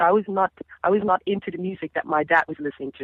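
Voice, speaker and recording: This is a woman speaking. She has a Dutch Caribbean accent. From Caribbean (Dutch Caribbean). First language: Papiamento. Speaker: singer. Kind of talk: interview.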